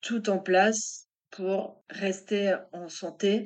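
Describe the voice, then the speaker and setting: Medium-pitched woman's voice against a quiet background. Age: 40s. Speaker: web marketer and author. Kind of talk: interview testimony.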